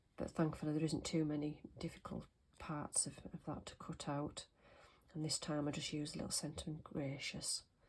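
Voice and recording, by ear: A woman speaks low with little pitch movement, a slightly husky edge and a slightly mellow tone. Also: moderate pace.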